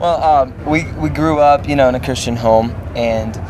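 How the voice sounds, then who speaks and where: A man talks with ordinary pitch variation. Noticeable background noise and audible room echo come through. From Russia. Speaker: rock band musician. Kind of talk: interview.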